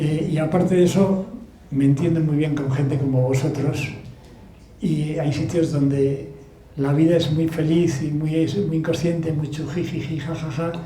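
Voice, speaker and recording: Delivered in a monotone, flat intonation at a fairly slow pace, the voice carries a Basque accent over audible room echo. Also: man, fairly high pitch for a man. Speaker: author and sailor. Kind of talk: book talk Q&A.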